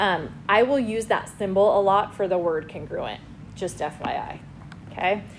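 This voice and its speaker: With audible room echo, a woman speaks at a moderate pace, her medium pitch showing ordinary variation. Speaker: high school math teacher. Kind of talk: classroom lecture.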